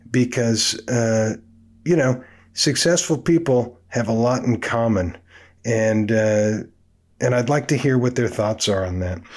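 Against a quiet background, a man with an American accent speaks at a fairly slow pace and medium pitch with ordinary pitch variation. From Oakland, California (US West Coast). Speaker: drummer and music teacher hosting a podcast. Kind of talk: casual monologue. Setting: home studio.

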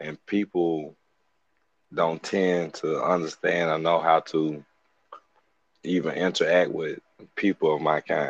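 Pausing long and often, a man speaks at a fairly slow pace in a dry, close sound with no echo. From US South, Birmingham, Alabama. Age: 30s. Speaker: mental health advocate. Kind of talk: casual interview.

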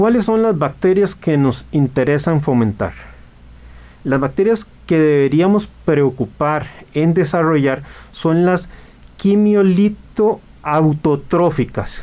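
Lively intonation rides over a dark, mellow tone at a very slow pace. The loudness stays very even throughout. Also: man, fairly high pitch for a man. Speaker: radio host, marine aquarium hobbyist. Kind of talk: radio talk show, explanatory. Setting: radio studio.

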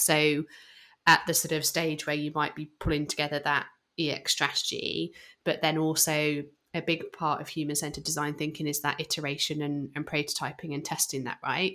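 Over a silent background in a very clean recording, a woman with a British accent speaks in a very deep, low voice with a bright, sharp tone and monotone, flat intonation. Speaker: podcast co-host. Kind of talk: casual podcast conversation.

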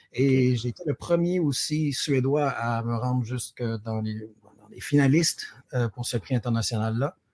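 A man with a Quebec accent at a moderate pace, medium pitch, ordinary pitch variation, big swings in loudness, and a dry, close sound with no echo. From Quebec, Sherbrooke. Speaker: award-winning teacher. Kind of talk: interview. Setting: pre-recorded remote interview.

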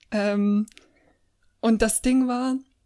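Over a silent background in a very clean recording, a woman speaks at a fairly high pitch with a dark, mellow tone and fairly even intonation. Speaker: podcast co-host. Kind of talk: casual chat.

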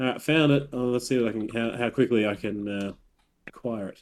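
A man talks at a fairly quick pace in a normal speaking voice, medium in pitch with ordinary pitch variation. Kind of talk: casual chat. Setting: video call.

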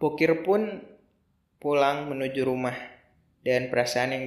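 A man speaks at a moderate pace in an unremarkable speaking voice. His pitch sits in the medium range and varies in an ordinary way. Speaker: storyteller podcaster. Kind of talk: storytelling narration, scripted-style tale read with dialogue.

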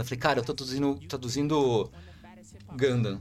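Vocal fry marks a man's fairly quick delivery. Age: 30s. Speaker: content creator. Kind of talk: casual chat.

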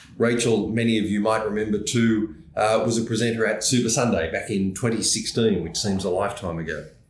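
A man speaks in a fairly low pitch at a fairly quick pace with hardly any pauses. His intonation is fairly even, and audible room echo surrounds him. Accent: Australian. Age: 60s. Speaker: podcast host, professional association executive. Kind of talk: interview.

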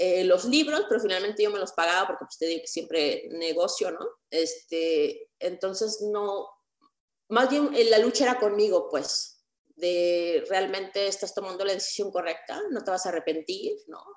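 A woman with an ordinary speaking voice, medium pitch and ordinary pitch variation, at a fairly slow pace. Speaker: lawyer and online content creator. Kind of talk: interview.

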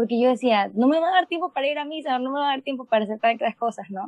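High-pitched speech from a woman, with ordinary pitch variation. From Panama. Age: 20s. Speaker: medical student. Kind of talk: testimony.

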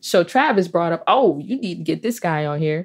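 A woman's voice swings very widely in pitch. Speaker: podcast host. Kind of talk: casual interview chat.

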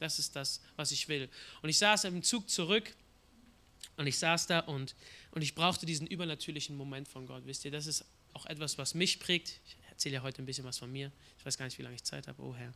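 This man's fairly high voice has a bright, sharp tone and vocal fry, moving at a fairly quick pace with ordinary pitch variation and big swings in loudness. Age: 20s. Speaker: guest preacher. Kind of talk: sermon.

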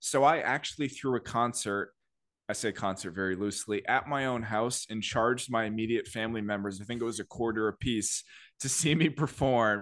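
Over a quiet background, a man with an ordinary speaking voice talks at a fairly quick pace, medium in pitch with ordinary pitch variation. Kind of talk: casual chat. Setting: remote call.

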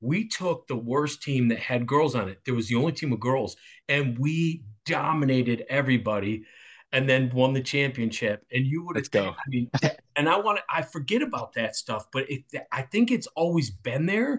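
Somewhat breathy, a man with a medium pitch talks at a moderate pace with lively intonation and an animated tone. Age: 50s. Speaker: football coach. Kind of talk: casual interview chat.

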